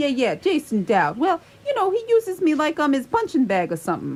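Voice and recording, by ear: Putting on a character voice, a woman talks fairly quickly at a high pitch with very wide pitch swings and a slightly mellow tone.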